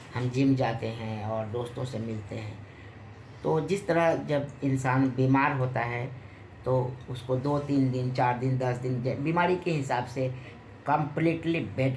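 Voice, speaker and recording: A man speaks at a medium pitch with fairly even intonation, and room echo is audible. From Bihar, Muzaffarpur. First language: Bhojpuri (speaking Hindi). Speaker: film and TV actor. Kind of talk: interview.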